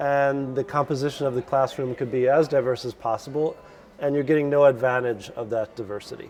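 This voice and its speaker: A man with an American accent speaks at a fairly quick pace, his medium-pitched voice keeping a fairly even intonation. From US Midwest, Chicago suburbs. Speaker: lecturer. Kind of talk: casual interview.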